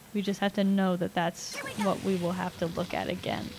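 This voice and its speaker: A woman at a medium pitch and a fairly quick pace, against noticeable background noise. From Canada. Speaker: video game streamer; game streamer. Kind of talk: live gameplay commentary. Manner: animated. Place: home room.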